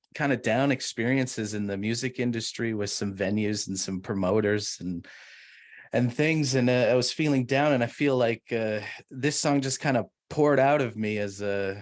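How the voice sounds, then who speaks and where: On a very clean recording with a silent background, a man with a Canadian accent uses a normal speaking voice, speaking at a moderate pace in a medium pitch with ordinary pitch variation. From Canada, Edmonton. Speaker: musician. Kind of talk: casual chat.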